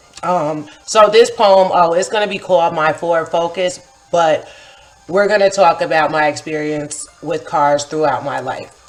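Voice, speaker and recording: Music plays in the background as a woman with an American accent speaks at a fairly slow pace. Her pitch is fairly low, with ordinary variation. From upstate New York, Kingston. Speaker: poet and vlogger. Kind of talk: casual vlog monologue. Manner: casual, filler-heavy.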